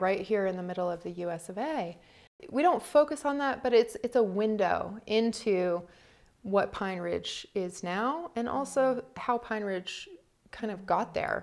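A woman's voice at a moderate pace, with lively intonation and big swings in loudness, over a quiet background. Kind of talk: interview answer. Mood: earnest, reflective. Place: home room.

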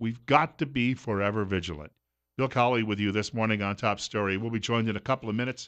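A man speaks at a very fast pace in a fairly low pitch, with ordinary pitch variation over a quiet background. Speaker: radio talk show host. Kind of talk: radio host talk and ad read. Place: studio. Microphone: studio mic.

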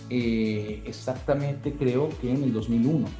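Amid audible room echo and faint background music, a man talks at a fairly slow pace. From Venezuela. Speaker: voice actor. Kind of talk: interview answer. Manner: casual, conversational. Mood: relaxed, reflective. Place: home room. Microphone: video call.

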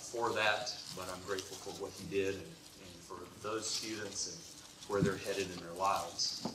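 A man's voice, bright and sharp in tone, with fairly even intonation, a moderate pace and strong room echo

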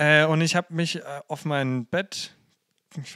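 Bright, sharp tone from a man at a fairly high pitch, fairly even intonation, dry, close sound with no echo and a very clean recording with a silent background. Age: 20s. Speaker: youth worker and theologian. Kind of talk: casual chat.

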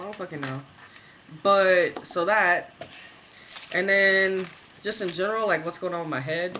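A man speaks in a raised, projected voice at a high pitch. Light background noise sits behind him. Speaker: vlogger. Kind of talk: video diary. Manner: rambling, halting with fillers. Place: home room. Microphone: webcam.

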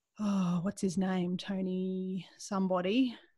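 Over a quiet background, a woman with a medium pitch sounds somewhat breathy. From Australia. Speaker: skeptic group leader and podcast reporter. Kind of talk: interview answer. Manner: casual, conversational. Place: home room. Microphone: video call.

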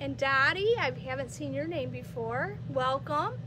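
A woman talks while noticeable background noise is heard around her. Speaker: yarn shop host. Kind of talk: casual live-stream chat greeting viewers. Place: shop.

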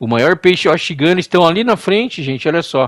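Very fast and animated, a man talks at high pitch. The recording is very clean with a silent background. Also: dry, close sound with no echo. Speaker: gaming YouTuber. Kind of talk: game tutorial.

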